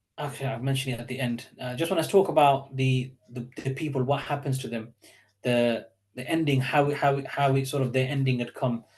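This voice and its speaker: Somewhat breathy and fairly quick, a man talks at medium pitch with fairly even intonation. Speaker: Islamic teacher. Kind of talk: online lecture. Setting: online session with chat. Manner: fast; hesitant, many fillers.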